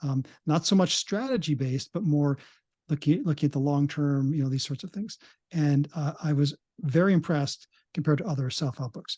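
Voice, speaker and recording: The sound is dry and close with no echo as a man speaks fairly quickly, somewhat breathy, in a fairly high pitch with a dark, mellow tone and ordinary pitch variation. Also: quiet background. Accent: Canadian. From Canada. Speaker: psychologist. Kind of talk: interview. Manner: halting, many fillers and restarts.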